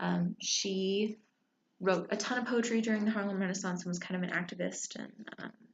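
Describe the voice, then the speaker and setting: A woman speaks quietly at a medium pitch with vocal fry. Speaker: book reviewer. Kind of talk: casual book talk. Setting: library. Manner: quiet, hushed; hesitant, many fillers.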